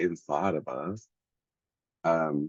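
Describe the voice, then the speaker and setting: The dry, close sound with no echo captures a man speaking at a very deep, low pitch. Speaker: astrology and tarot content creator. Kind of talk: casual tutorial monologue. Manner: hesitant, many fillers. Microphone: audio a little distorted.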